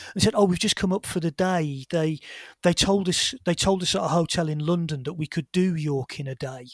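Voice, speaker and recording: Fast-ish at a fairly quick pace, a man speaks with a high pitch and ordinary pitch variation. The recording is very clean with a silent background and a dry, close sound with no echo. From Birmingham, England. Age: 40s. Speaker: historian and former teacher. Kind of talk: interview.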